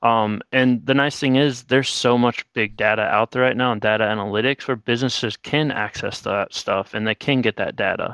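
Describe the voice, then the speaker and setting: With a normal speaking voice at a medium pitch, a man talks at a fairly quick pace with hardly any pauses and fairly even intonation, recorded dry and close with no echo against a quiet background. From South Dakota, US Midwest. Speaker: accountant. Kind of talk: casual interview.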